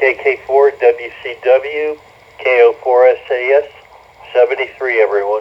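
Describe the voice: Fairly slow pace and fairly even intonation. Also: man, medium pitch for a man.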